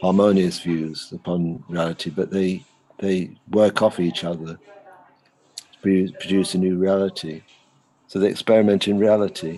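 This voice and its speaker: A man speaks with a very deep, low pitch in a monotone, flat delivery. His pace is moderate, broken by long, frequent pauses. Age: 70s. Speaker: art lecturer. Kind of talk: interview conversation. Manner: halting, many fillers.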